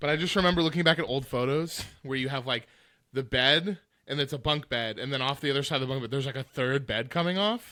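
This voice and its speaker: In a very clean recording with a silent background, a man talks very fast with a medium pitch, ordinary pitch variation and a bright, sharp tone. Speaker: podcast co-host. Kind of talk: casual chat. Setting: podcast recording.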